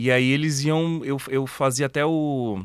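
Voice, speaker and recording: On a very clean recording with a silent background, a man speaks very slowly at a medium pitch. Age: 30s. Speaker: online retailer. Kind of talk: casual interview chat.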